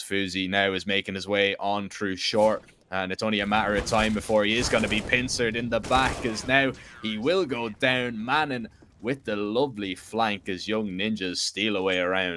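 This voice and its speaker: A man with an Irish accent speaks at a moderate pace in a fairly low pitch. His tone is bright and sharp, with ordinary pitch variation. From Ireland. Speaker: esports commentator. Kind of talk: live commentary; casual chat.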